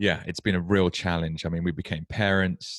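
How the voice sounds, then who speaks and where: With a British accent, a man speaks at a fairly quick pace in a very deep, low voice with fairly even intonation. The recording is very clean with a silent background and a dry, close sound with no echo. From UK. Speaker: podcast host. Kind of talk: interview podcast. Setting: at home.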